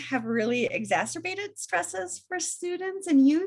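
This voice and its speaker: A woman with a Minnesota accent at a moderate pace. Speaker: research and evaluation presenter. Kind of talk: webinar presentation. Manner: frequent filler ums.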